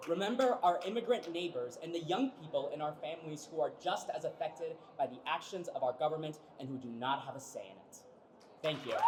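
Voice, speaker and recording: A man talks at a fairly quick pace in a high voice with lively intonation and big swings in loudness. Noticeable background noise runs underneath. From Kansas, raised from childhood after immigrating from Mexico. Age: 20s. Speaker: voting rights activist. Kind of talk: rally speech. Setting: indoor rally in capitol rotunda.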